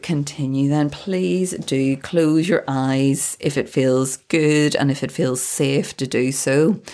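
With a British accent, the speaker goes at a very slow pace in a calm tone that is dark and mellow, on a very clean recording with a silent background. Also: woman. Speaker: podcast host and balance coach. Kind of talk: guided meditation. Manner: slow, calm.

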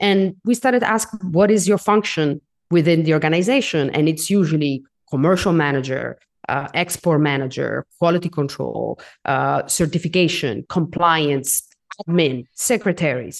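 Over a quiet background, a woman with vocal fry talks at a moderate pace with lively intonation. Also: fairly low pitch for a woman, very even loudness. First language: not English. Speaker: coffee consultant and educator. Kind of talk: interview. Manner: halting, repeats words.

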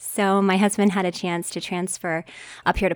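A woman with an American accent speaks at a moderate pace in an ordinary speaking voice, medium in pitch, on a very clean recording with a silent background. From West Virginia. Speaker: church member sharing mental health struggle. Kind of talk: interview testimony.

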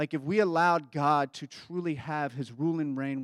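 A man with a Kentucky accent and a fairly high voice at a moderate pace, in a very clean recording with a silent background and a dry, close sound with no echo. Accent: Kentucky Southern American. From Kentucky, US South. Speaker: pastor. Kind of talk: sermon.

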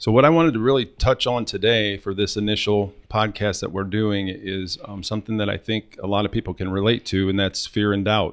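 A man with a Midwestern American accent and a fairly low pitch talks at a fairly quick pace with hardly any pauses. His intonation is fairly even, and the background is quiet. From Northwest Ohio. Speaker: car sales coach. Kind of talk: casual chat.

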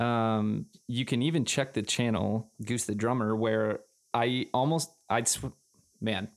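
A normal speaking voice with an American accent moves at a fairly slow pace. The recording is very clean, with a silent background. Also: man. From Wisconsin, Green Bay. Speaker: drummer and video creator. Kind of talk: casual chat.

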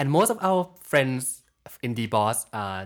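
A man is speaking. He talks with a Thai accent. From Thailand. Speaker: graduate student. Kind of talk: casual chat.

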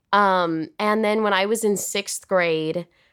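A woman with a Californian accent on a very clean recording with a silent background. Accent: Californian American. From Los Angeles, US. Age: 20s. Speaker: film actress. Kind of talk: casual chat. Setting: hotel room.

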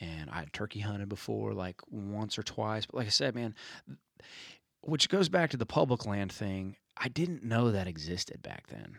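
In a Southern US accent, a man speaks at a moderate pace with a fairly low pitch and lively intonation. His loudness swings widely on a very clean recording with a silent background. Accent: US South. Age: 30s. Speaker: songwriter and turkey hunter. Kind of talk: casual chat.

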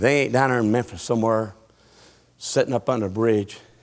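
A man with a Southern US accent, at a fairly quick pace. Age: 50s. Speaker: pastor. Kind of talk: sermon. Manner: animated.

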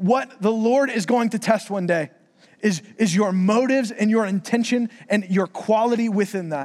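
At a moderate pace and high pitch, a man with an American accent speaks with ordinary pitch variation. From Florida. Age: 20s. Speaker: preacher. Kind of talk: sermon. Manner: casual, conversational.

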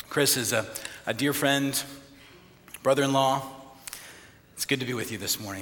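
Over noticeable background noise, a man with a medium pitch talks at a fairly quick pace but with long, frequent pauses. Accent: American. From Texas panhandle. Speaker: priest. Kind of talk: sermon.

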